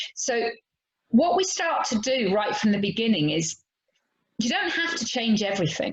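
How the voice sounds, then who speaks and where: A woman with an English accent at a moderate pace, her pitch swinging very widely. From England. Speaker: horse trainer. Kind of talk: podcast interview.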